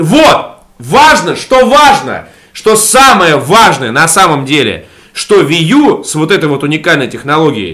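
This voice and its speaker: A man talks in an animated tone with very wide pitch swings. His pace is fairly slow. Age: 30s. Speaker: gaming podcast co-host. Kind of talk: casual chat. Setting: at home in a room under renovation.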